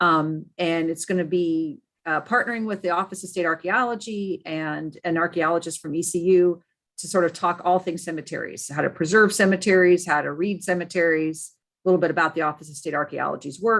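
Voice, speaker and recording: Her pitch fairly low, a woman speaks at a fairly quick pace with big swings in loudness. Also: quiet background. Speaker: state archives administrator. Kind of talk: meeting update. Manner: fast.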